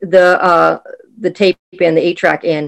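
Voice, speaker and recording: A woman with a Boston accent at a fairly slow pace. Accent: Boston American. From Boston, Massachusetts. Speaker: podcast host. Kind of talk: recorded personal story.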